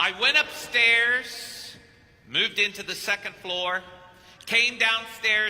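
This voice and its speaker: There is noticeable background noise behind this man. He talks at a fairly slow pace with ordinary pitch variation. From Kentucky. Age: 50s. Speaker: priest. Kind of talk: sermon.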